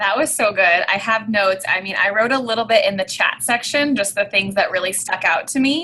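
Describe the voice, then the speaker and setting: A woman with an American accent talks at a fairly quick pace in a bright, sharp tone, her fairly high pitch showing ordinary variation. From California. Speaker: team coach giving feedback. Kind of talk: group coaching feedback session.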